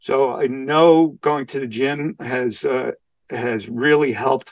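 This voice carries a New York accent. The sound is dry and close, with no echo. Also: man. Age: 60s. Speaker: community service club president. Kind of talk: interview. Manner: halting, with many fillers.

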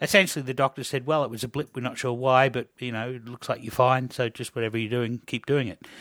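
A man's medium-pitched voice with an Australian accent and fairly even intonation, on a very clean recording with a silent background. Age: 50s. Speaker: podcast host and biochemistry student. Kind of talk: casual interview.

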